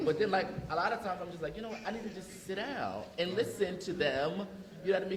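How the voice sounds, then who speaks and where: Talking at a very fast pace, a man is heard over noticeable background noise, and the room echo is audible. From North Philadelphia, US. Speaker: scholar and teacher. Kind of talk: panel discussion. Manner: casual, animated.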